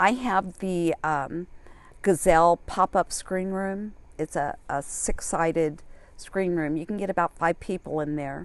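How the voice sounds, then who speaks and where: A woman's plain, everyday voice, fairly low in pitch and fairly slow, with fairly even intonation over a quiet background. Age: 60s. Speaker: full-time solo RVer. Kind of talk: casual interview chat.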